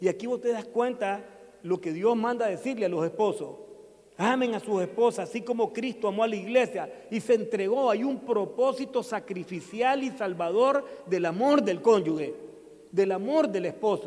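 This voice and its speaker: A man with a high-pitched voice speaks against noticeable background noise. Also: ordinary pitch variation, moderate pace. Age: 60s. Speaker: pastor. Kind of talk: sermon.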